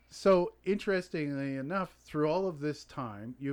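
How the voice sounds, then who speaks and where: In a very clean recording with a silent background, a man with a Canadian accent uses a plain, everyday voice with ordinary pitch variation at a fairly slow pace. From Canada. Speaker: podcast host. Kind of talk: casual interview chat.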